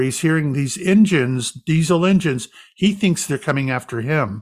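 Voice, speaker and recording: An unremarkable speaking voice with an American accent, moderate pace and ordinary pitch variation, on a very clean recording with a silent background. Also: man. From US South. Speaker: psychic medium and retired police officer. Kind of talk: casual interview.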